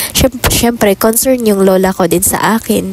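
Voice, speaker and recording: A woman talks with fairly even intonation at a moderate pace, noticeable background noise behind her. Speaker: vlogger. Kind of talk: casual vlog talk. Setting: doing laundry at home.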